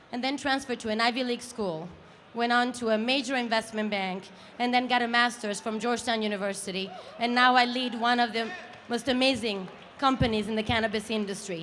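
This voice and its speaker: A high-pitched woman talks at a fairly quick pace. Audible room echo can be heard. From Italy. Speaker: company founder and CEO. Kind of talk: awards presentation speech. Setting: stage with live audience.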